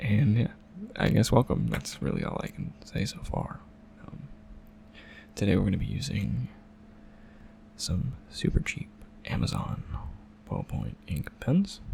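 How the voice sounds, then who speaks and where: Soft-spoken and fairly slow, a man talks with long, frequent pauses over noticeable background noise. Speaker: ASMR creator, doodle artist. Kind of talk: soft-spoken ASMR drawing commentary.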